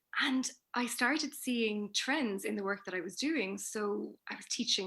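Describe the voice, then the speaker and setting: Her bright, sharp tone sits fairly high in pitch with ordinary pitch variation, as this woman speaks on a very clean recording with a silent background. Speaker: communication trainer and researcher. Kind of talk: interview.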